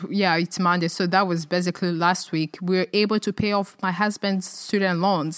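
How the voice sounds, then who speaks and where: A woman speaks at medium pitch and a moderate pace with fairly even intonation. The recording is very clean and dry, close with no echo and a silent background. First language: not English. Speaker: personal finance podcast host. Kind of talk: solo podcast talk. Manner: frequent hesitations and fillers.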